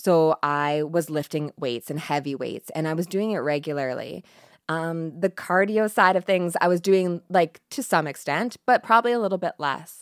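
Over a very clean recording with a silent background, a woman speaks in a plain, everyday voice, fairly low in pitch, at a moderate pace with ordinary pitch variation and a dry, close sound with no echo. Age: 30s. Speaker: pharmacist and cancer survivor. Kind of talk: interview, personal story.

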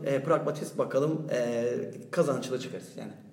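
Over noticeable background noise and audible room echo, a man talks at a moderate pace in a fairly high pitch with fairly even intonation. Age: 30s. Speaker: EU grant project worker. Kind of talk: casual panel discussion.

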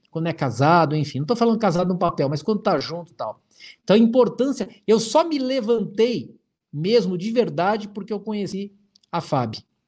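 At a fairly quick pace, a man speaks with a high pitch, an animated tone, and lively intonation. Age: 40s. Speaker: hypnotherapist and instructor. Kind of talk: livestream talk to viewers. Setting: live stream.

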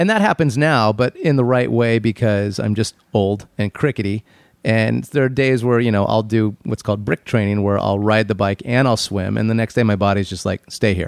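In a normal speaking voice, a man with a fairly low pitch speaks at a moderate pace with ordinary pitch variation and hardly any pauses, the sound dry and close with no echo. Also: very clean recording, silent background. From Arizona, US. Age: 40s. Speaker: radio DJ and triathlete. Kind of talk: casual chat.

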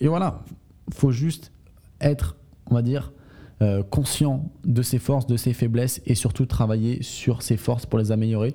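Speaking at a medium pitch, a man has a dark, mellow tone. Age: 20s. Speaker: sales podcast host. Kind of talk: solo podcast monologue. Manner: halting, with frequent fillers.

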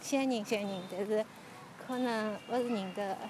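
A woman speaks at a moderate pace with fairly even intonation. Noticeable background noise runs behind her. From Shanghai suburbs. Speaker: podcaster guiding a neighbourhood walk. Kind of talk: narrated walking tour and personal recollection.

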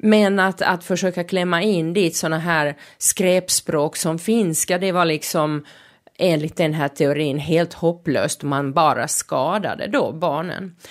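In a Finnish accent, a woman speaks at a fairly slow pace with a fairly low pitch and ordinary pitch variation. Her loudness stays very even, and the recording is very clean with a silent background. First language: Finnish (speaking Swedish). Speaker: podcast host. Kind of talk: podcast monologue. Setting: studio.

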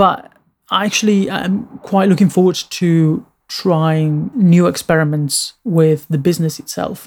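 At a fairly slow pace, a man with a non-native accent speaks in a high pitch with ordinary pitch variation. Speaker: designer and podcast host. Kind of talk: solo podcast monologue. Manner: halting, many filler words.

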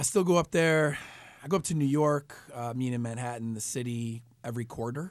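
There is a very clean recording and silent background as a man with an ordinary speaking voice talks fairly quickly at medium pitch with ordinary pitch variation. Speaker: entrepreneur. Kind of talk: radio interview. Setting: studio.

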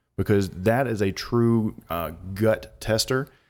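With ordinary pitch variation, a man speaks in an ordinary speaking voice at a fairly low pitch, in a very clean recording with a silent background. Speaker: real estate investor and former ballplayer. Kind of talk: casual conversational storytelling. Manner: relaxed, easygoing, uses fillers.

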